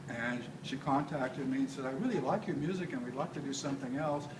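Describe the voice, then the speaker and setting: With an American accent and a fairly high pitch, a man speaks amid audible room echo and noticeable background noise. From Texas. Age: 70s. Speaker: composer. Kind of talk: casual talk to audience. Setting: live event with audience. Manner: halting, many fillers.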